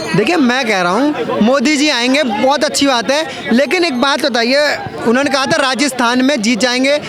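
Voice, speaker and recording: With music in the background and audible room echo, a man speaks at a moderate pace in an extremely high pitch, his loudness very even and his pitch variation ordinary. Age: young. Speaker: member of the public in street interview. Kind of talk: heated debate.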